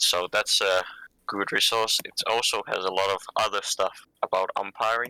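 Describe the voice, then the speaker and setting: A man talks at a very slow pace in a bright, sharp tone and fairly low pitch, with a dry, close sound with no echo. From Finland. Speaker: wargame umpire and rules designer. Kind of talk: tutorial.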